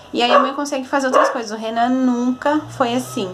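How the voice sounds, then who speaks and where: Against noticeable background noise, a soft-spoken woman with a high pitch talks at a moderate pace with fairly even intonation. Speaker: vlogger, mother. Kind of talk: casual vlog.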